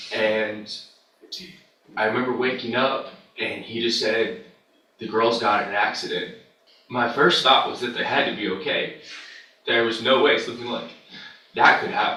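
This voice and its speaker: A man at a moderate pace with long, frequent pauses and audible room echo. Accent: American. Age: 20s. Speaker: victim's fiancé testifying as witness. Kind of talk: courtroom victim impact testimony. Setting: courtroom. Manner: halting.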